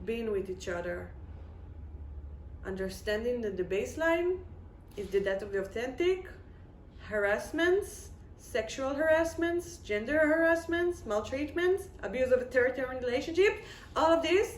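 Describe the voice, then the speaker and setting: With an Israeli accent, a woman speaks in a high voice with very wide pitch swings and long, frequent pauses, and the room echo is audible. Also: moderate pace. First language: Hebrew. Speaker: video blogger. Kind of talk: casual monologue.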